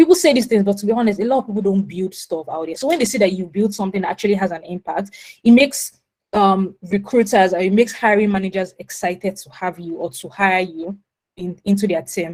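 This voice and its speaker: A woman talks at a very fast pace, her pitch in the medium range. Her pitch varies in an ordinary way, while her loudness swings widely. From Nigeria, Lagos. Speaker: product manager. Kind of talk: webinar talk.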